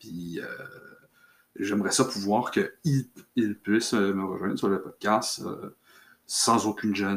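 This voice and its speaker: A man with a Quebec accent, a fairly low pitch, fairly even intonation, a very slow pace and long, frequent pauses. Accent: Québécois French. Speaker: podcaster on fencing and martial arts. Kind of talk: solo casual monologue. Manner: halting, many fillers.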